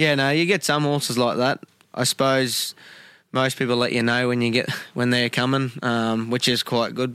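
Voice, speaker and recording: A man talks with an Australian accent and a bright, sharp tone. His intonation stays fairly even over a very clean recording with a silent background. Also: medium pitch for a man, moderate pace. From Queensland, Australia (Gracemere). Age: 20s. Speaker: camp drafter, horse rider. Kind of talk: interview. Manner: halting.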